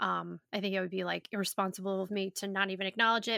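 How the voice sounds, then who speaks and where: Loud and bright with a sharp tone, a woman speaks at medium pitch on a very clean recording with a silent background. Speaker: yoga teacher and podcast host. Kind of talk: casual solo podcast monologue. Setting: studio microphone.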